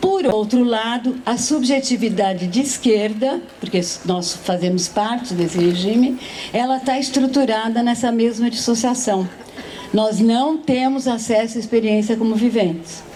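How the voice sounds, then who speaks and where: A woman's fairly high voice with ordinary pitch variation and very even loudness, plus audible room echo and noticeable background noise. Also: fairly slow pace. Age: 70s. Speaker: philosopher, panel speaker. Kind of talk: panel talk at a literary festival.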